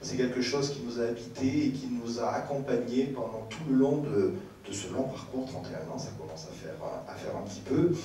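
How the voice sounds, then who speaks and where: With audible room echo and light background noise, a man speaks at a moderate pace with ordinary pitch variation and big swings in loudness. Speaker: speaker, teacher. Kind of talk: panel talk. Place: stage.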